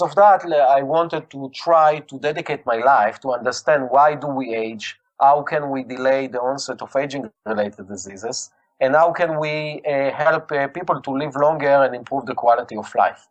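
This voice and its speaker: Speaking at a moderate pace with a strong Israeli accent, a man uses a fairly high pitch and ordinary pitch variation. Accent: heavy Israeli. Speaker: scientist and company founder. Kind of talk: interview. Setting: phone call. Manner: halting with many fillers.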